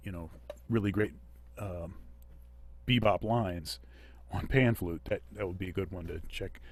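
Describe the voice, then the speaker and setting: Pausing long and often, a man with a very deep, low pitch and vocal fry talks at a moderate pace with lively intonation. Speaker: saxophonist and music educator. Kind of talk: masterclass Q&A. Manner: halting with many fillers.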